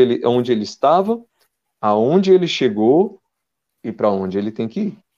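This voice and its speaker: Medium in pitch, this man's voice carries a dark, mellow tone. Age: 30s. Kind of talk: casual interview chat.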